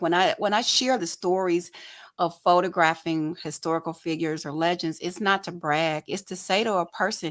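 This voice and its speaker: Recorded very cleanly over a silent background, a woman with a Southern accent talks at a moderate pace and fairly low pitch with fairly even intonation. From Detroit, Michigan (Southwest Detroit). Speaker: photojournalist and talk show host. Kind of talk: casual interview chat.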